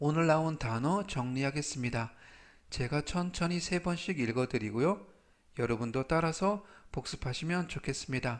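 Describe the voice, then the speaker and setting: At a fairly slow pace, a man talks with lively intonation on a very clean recording with a silent background. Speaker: English vocabulary teacher. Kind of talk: tutorial. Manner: slow, repeating each word three times; formal.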